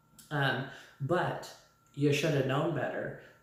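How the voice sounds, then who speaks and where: Over noticeable background noise and audible room echo, a woman speaks slowly at a very deep, low pitch. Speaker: vlogger. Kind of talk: casual vlog commentary.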